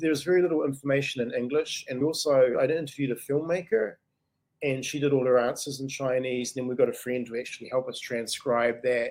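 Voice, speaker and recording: A man in a New Zealand accent, medium-pitched, fairly quick and fairly even in intonation. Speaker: writer and English teacher. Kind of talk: interview answer. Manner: casual, conversational.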